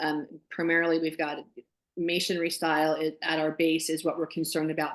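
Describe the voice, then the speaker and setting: Loudness stays very even as the speaker goes at a fairly quick pace in a monotone, flat intonation. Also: woman, fairly low pitch for a woman. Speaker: community association club organizer. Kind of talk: online club meeting discussion.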